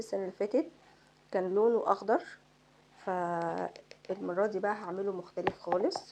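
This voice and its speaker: A soft-spoken woman with an Egyptian accent, medium pitch, fairly even intonation and a moderate pace. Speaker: beauty vlogger. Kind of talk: makeup tutorial. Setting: home at night. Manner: casual.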